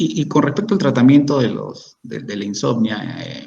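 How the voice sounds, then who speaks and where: A man's dark, mellow voice with vocal fry and lively intonation, in a room with audible echo. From Peru. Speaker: psychiatrist. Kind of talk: expert Q&A answering audience questions. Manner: halting, many repetitions and false starts.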